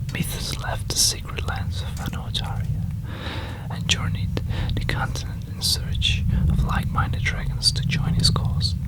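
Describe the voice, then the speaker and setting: A whisper proceeds at a moderate pace with noticeable background noise behind it. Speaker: ASMR creator. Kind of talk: whispered story reading. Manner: whispering; soft-spoken.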